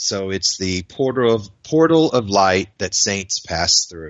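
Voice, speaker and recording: A man's plain, everyday voice with an American accent, fairly low pitch, ordinary pitch variation and a fairly slow pace. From US South, Florida. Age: 50s. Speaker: writer and spiritual seeker. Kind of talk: interview.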